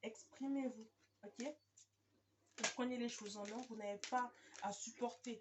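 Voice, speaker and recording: A woman's high-pitched voice at a fairly slow pace. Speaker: tarot card reader. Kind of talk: tarot reading video. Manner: hesitant, many fillers.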